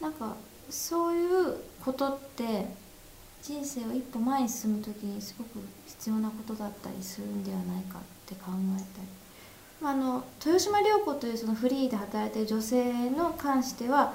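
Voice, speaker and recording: A woman speaks at a moderate pace in a fairly high pitch, with lively intonation. Noticeable background noise and audible room echo fill the recording. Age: 20s. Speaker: film director. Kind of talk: casual interview.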